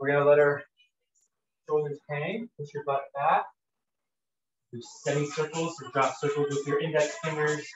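A man with a fairly high pitch speaks at a moderate pace in a flat monotone, with long, frequent pauses, light background noise and audible room echo. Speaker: fitness instructor. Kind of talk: live workout coaching with countdowns and rep cues. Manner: casual, filler-heavy with frequent ums and uhs. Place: home room. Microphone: camera far.

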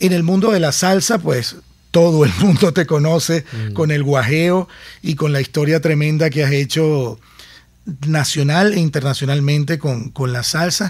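Somewhat breathy, a man's voice sits fairly high for a man. He talks at a fairly slow pace with ordinary pitch variation. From Caracas, Venezuela. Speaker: podcast host, former radio host. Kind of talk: interview conversation.

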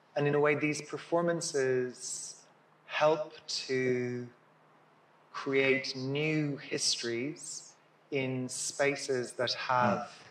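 In a room with audible echo, someone speaks very slowly with monotone, flat intonation. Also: man. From Ireland. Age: 50s. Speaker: dancer and choreographer. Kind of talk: public conversation. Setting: stage with audience. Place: hall.

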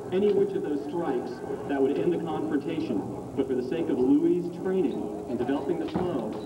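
A man at a moderate pace over loud background noise. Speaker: demonstration announcer. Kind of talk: commentary. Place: street.

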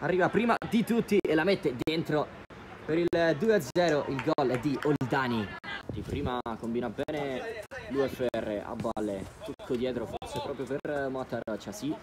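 A man's fairly high pitch at a fairly slow pace, with crowd noise in the background. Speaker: match commentator. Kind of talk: live sports commentary. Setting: football match, commentary over live video. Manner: excitable, rising to shouts on goals. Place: stadium.

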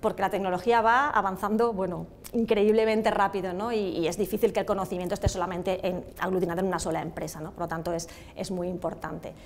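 The speech comes very fast with fairly even intonation over light background noise. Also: woman. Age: 50s. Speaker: automotive industry association president. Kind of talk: TV interview. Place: hall. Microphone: lapel.

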